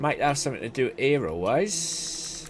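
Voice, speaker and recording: Against noticeable background noise, a man with a Welsh accent speaks at a fairly slow pace. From South Wales. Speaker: gaming streamer. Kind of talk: gameplay commentary. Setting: live stream. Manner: casual, chatty.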